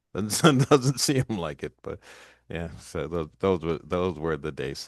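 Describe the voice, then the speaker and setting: At a very slow pace, a man with a very deep, low pitch makes very wide pitch swings and big swings in loudness, the sound dry and close with no echo against a quiet background. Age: 60s. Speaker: podcast host. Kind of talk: casual interview chat.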